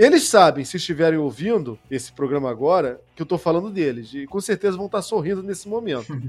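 At a very fast pace with hardly any pauses, a man speaks in a high pitch with lively intonation. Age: 40s. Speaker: science communicator and researcher. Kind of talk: interview conversation.

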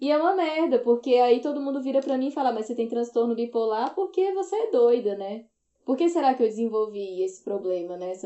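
Pitched high, a woman talks at a fairly quick pace with very wide pitch swings. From Brazil, Ceará (Northeast). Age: 30s. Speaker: activist and podcaster. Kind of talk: casual chat.

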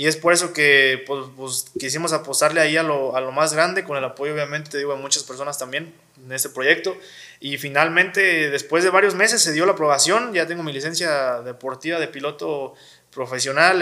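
Speaking at a fairly quick pace, a man with a fairly high pitch uses ordinary pitch variation and a bright, sharp tone. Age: 20s. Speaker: wheelchair user sharing his story. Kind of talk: interview. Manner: halting, many fillers.

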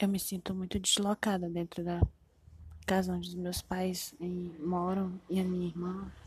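A woman's somewhat breathy, dark, mellow voice at a medium pitch, monotone and flat, at a fairly slow pace. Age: 20s. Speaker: podcaster. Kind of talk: personal monologue, confessional. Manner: halting, with many fillers.

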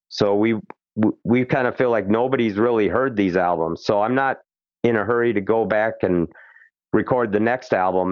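An unremarkable speaking voice from a man with an American accent, fairly low in pitch, at a moderate pace, with very even loudness and fairly even intonation. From Minnesota, Twin Cities. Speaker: musician. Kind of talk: interview. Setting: phone call.

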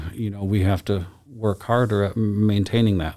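A man with an American accent speaks at a moderate pace in a dark, mellow tone, his pitch fairly low and his intonation fairly even. The recording is very clean, with a silent background. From Michigan, Lansing. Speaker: nut shop owner. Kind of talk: casual chat.

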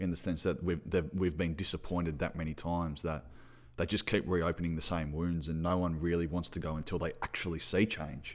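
In a very clean recording with a silent background, a man with an Australian accent talks at a fairly quick pace in a very deep, low pitch. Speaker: football podcast host. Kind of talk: casual sports chat, match review.

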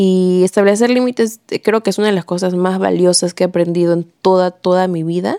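A woman speaks with a dark, mellow tone at a moderate pace. The sound is dry and close, with no echo. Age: 20s. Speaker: podcaster. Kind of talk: casual monologue. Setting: home bedroom. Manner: animated.

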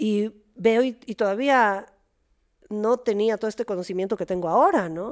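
A woman with a plain, everyday voice speaks at a moderate pace, her pitch fairly high with ordinary pitch variation. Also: dry, close sound with no echo. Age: 40s. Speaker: therapist. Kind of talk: casual chat.

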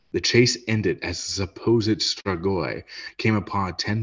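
A man talks fairly slowly in a somewhat breathy voice with a dramatic tone. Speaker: podcast host. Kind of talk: true-crime horror narration read aloud. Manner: dramatic, measured storytelling; casual, joking banter between segments.

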